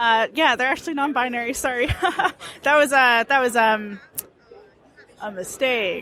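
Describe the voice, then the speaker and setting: A woman with an American accent speaks in a high pitch, leaving long, frequent pauses. Noticeable background noise can be heard. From US South. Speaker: comics creator. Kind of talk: interview. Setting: convention floor.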